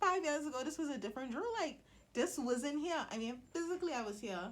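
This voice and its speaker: With a Bahamian accent, a woman talks at a fairly quick pace, her pitch swinging very widely. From Bahamas. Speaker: motivational vlogger. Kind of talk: motivational vlog talk. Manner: casual, conversational.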